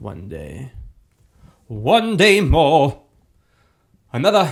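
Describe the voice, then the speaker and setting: A man with an American accent, vocal fry and very wide pitch swings. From New York City. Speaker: actor and show host. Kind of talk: casual chat to camera.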